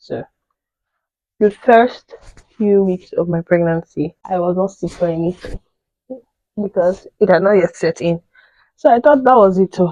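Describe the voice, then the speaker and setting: A woman speaks at a moderate pace and medium pitch, with ordinary pitch variation and long, frequent pauses. Her tone is dark and mellow, and the sound is dry and close with no echo. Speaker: lifestyle vlogger. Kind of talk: casual chat.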